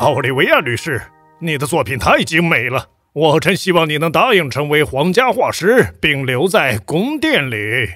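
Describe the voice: A man's cartoonish character voice with a bright, sharp tone, a slightly husky edge and big pitch swings, at a moderate pace over faint music in the background. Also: fairly high pitch for a man.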